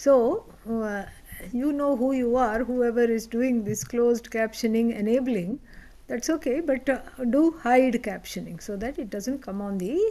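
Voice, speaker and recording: A woman's high voice with a dark, mellow tone and an Indian accent, at a fairly slow pace with ordinary pitch variation. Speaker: spiritual teacher. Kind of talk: lecture. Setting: online class with live audience.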